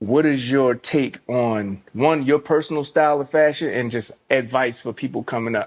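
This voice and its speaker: Against a quiet background, a man with a medium-pitched voice speaks at a moderate pace with fairly even intonation and hardly any pauses. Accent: American. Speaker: podcast host. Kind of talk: casual interview chat. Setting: studio.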